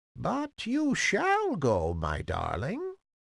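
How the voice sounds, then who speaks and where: This is a croaky, put-on character voice. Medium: read story.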